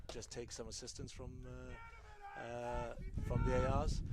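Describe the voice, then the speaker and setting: A man with a Welsh accent over noticeable background noise. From Wales. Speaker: color commentator, former rugby referee and coach. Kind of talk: live sports commentary. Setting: commentary booth outdoors at rugby game. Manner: fast.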